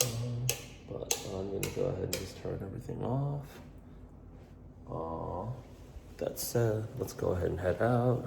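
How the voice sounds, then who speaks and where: Speaking in an American accent at a fairly slow pace with long, frequent pauses, a man of medium pitch shows ordinary pitch variation, with audible room echo and noticeable background noise around him. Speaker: career coach and vlogger. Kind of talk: casual vlog tour. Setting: walking through apartment building. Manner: casual, filler-heavy.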